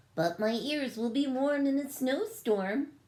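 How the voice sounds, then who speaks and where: A woman speaks at a fairly slow pace in a put-on character voice. Her pitch is high. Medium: read story. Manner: cheerful, self-assured.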